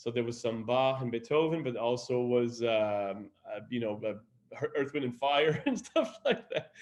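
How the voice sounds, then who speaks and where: A man speaks at a fairly slow pace in a medium pitch. His intonation stays fairly even. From Quebec, Montreal. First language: French. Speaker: opera singer. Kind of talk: interview.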